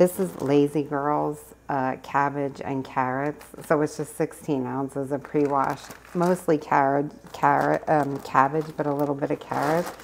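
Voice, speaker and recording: Soft-spoken and at a fairly slow pace, a woman talks in a very deep, low pitch over light background noise. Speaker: cooking vlogger; home cook vlogger. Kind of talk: casual vlog. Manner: animated. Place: kitchen. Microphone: phone near.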